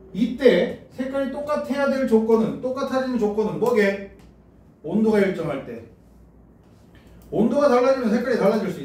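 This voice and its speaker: A man speaks at a moderate pace in an extremely high voice, with ordinary pitch variation and big swings in loudness. His long, frequent pauses sit over noticeable background noise. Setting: classroom lecture. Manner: teaching calmly.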